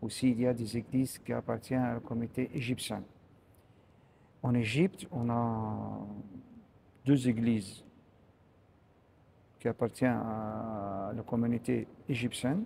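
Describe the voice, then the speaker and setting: A man with an Arabic accent and a medium pitch speaks at a fairly slow pace in a dark, mellow tone. His intonation stays fairly even, broken by long, frequent pauses. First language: Arabic (speaking French). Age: 60s. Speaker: priest. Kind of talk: interview. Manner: halting, many hesitations.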